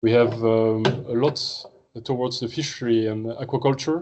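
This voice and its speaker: A man with a French accent speaks at a moderate pace and medium pitch, his intonation fairly even. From France. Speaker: marine research scientist. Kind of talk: seminar talk. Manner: hesitant, many fillers.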